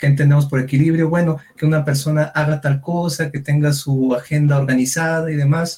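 A man speaks at a fairly high pitch, somewhat breathy. His intonation is monotone and flat. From Durango, Mexico. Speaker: psychologist. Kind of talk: casual chat. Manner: halting, many fillers.

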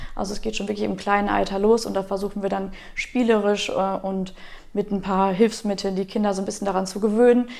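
A woman at a medium pitch, fairly quick pace and monotone, flat intonation, with noticeable background noise. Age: 20s. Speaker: Red Cross volunteer leader. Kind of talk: interview.

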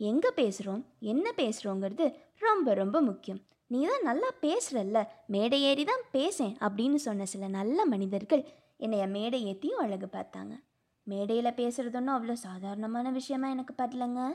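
Her high-pitched voice carries lively intonation as the woman speaks. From Tamil Nadu, Pollachi (Kongu region). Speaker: engineering student, new podcaster. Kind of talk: personal introduction monologue.

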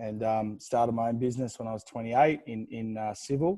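An Australian accent comes from a man with a dark, mellow tone. He talks at a fairly quick pace with ordinary pitch variation. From Australia, New South Wales. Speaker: gym founder and CEO. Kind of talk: interview.

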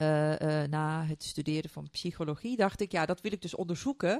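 The recording is very clean, its background silent. A woman speaks at a moderate pace. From Turkey. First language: Turkish (speaking Dutch). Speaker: neuroscientist and coach. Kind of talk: interview. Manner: halting.

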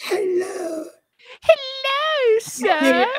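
A female-sounding, put-on character voice at an extremely high pitch. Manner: scary, creepy.

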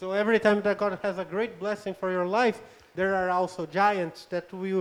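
The voice belongs to a man and sits high in pitch. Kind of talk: live interpretation of a sermon. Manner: halting.

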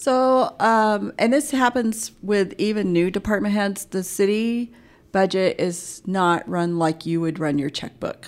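In an ordinary speaking voice, a woman with an American accent speaks at medium pitch and a fairly slow pace with lively intonation, in a very clean recording with a silent background. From Alaska and Oklahoma. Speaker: city treasurer. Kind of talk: interview.

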